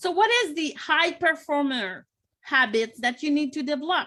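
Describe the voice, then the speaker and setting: A woman speaks in a Quebec accent. Her pitch varies in an ordinary way. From Quebec, Montreal. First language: French. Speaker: business coach. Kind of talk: online workshop presentation. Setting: live stream.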